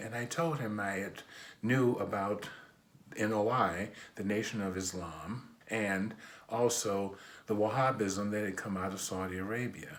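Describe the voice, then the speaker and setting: A man with an American accent speaks at a fairly slow pace in a fairly low pitch. His intonation is fairly even, and audible room echo surrounds him. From US Midwest, Detroit, Michigan. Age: 60s. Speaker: imam. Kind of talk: personal testimony.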